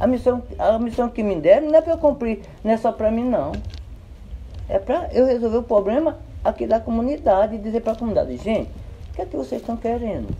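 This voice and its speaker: A man talks at a fairly quick pace but with long, frequent pauses. His pitch is extremely high, with ordinary variation. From Brazil, Paraíba (Potiguara land, Northeast). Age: 60s. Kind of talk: interview.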